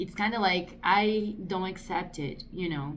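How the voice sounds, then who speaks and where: Audible room echo surrounds a woman speaking with a Brazilian accent. She goes at a very slow pace and a fairly low pitch. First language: Portuguese. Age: 30s. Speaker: artist vlogger. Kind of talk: casual vlog monologue. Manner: hesitant, filler-heavy.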